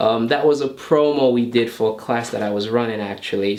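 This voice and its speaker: The speech has fairly even intonation, heard through noticeable background noise. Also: man. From New York, US. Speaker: bodybuilder and fitness trainer. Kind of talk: casual Q&A to camera. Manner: relaxed, with many fillers.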